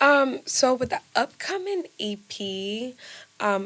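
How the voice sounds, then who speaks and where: A woman speaks with a Ghanaian accent. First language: Twi. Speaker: musician. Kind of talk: interview. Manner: halting, many fillers.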